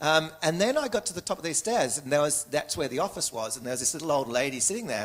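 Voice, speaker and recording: A man with an Australian accent, fairly high-pitched, talking at a very fast pace with lively intonation over noticeable background noise. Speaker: speaker telling a personal story.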